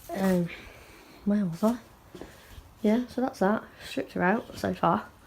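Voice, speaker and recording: A woman with an English Midlands accent, medium pitch, ordinary pitch variation and a very slow pace, over noticeable background noise. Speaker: automotive trimmer. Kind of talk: casual talk to camera.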